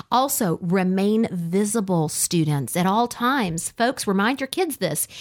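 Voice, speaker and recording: In a very clean recording with a silent background, a woman speaks fairly slowly at a medium pitch in an unremarkable speaking voice. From US South (army family, moved around). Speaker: radio host. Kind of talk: casual chat.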